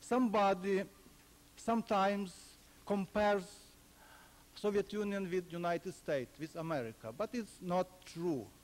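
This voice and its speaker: A man with a high pitch and a Ukrainian accent, at a moderate pace with long, frequent pauses. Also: ordinary pitch variation. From Ukraine. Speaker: historian, former political prisoner. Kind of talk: lecture.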